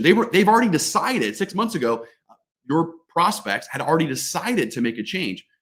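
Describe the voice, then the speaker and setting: Animated in tone, a man's voice carries vocal fry and very wide pitch swings. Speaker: sales trainer. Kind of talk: webinar presentation.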